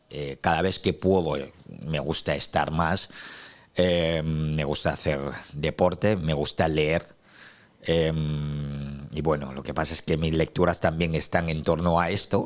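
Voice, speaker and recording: A man talks at a very slow pace. His very deep, low pitch stays monotone and flat. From Cameroon, Douala. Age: 30s. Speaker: activist, interview guest. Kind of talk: interview. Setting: studio. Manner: hesitant with many fillers.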